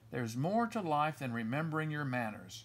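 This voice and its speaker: A man's put-on character voice, gruff and rumbling, fairly high in pitch and at a fairly quick pace. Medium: read story. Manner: gruff, grumbling.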